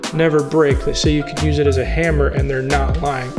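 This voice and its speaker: Music plays clearly in the background while the man talks. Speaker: audio gear reviewer. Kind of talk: tutorial. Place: studio.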